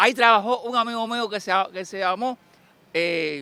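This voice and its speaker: A man speaks very slowly in a raised, projected voice with a bright, sharp tone and lively intonation. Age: 70s. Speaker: person interviewed on the street. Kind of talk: street interview. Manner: halting, repetitive.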